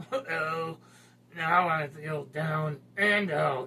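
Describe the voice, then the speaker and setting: The speaker uses a put-on character voice. Its pitch stays in the middle range. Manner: glum, down in the dumps.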